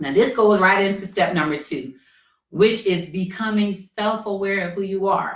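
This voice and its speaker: The voice has a bright, sharp tone and a moderate pace. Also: woman. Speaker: career coach. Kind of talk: tutorial. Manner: casual.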